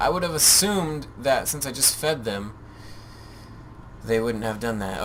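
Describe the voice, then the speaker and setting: Audible room echo around a man's voice, with music in the background. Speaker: gaming video creator. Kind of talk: let's play commentary. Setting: home recording with webcam. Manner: animated.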